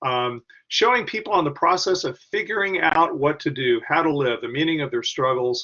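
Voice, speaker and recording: Moving at a moderate pace, a man speaks with a fairly high pitch. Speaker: academic researcher, former school principal. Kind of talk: webinar lecture. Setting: online webinar. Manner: halting, many fillers and restarts.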